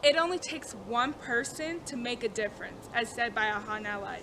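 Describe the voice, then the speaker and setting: There is noticeable background noise as a woman talks in a high pitch with lively intonation. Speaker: student. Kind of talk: class informative speech. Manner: stuttering.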